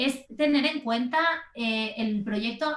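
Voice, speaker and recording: There is noticeable background noise behind a woman speaking. Her pitch is fairly high, with ordinary pitch variation. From Spain, Barcelona. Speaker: graphic designer. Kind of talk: interview conversation.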